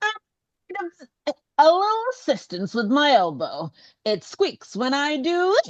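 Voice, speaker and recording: Using a put-on character voice, a woman speaks at a moderate pace with a high pitch and long, frequent pauses. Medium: read story.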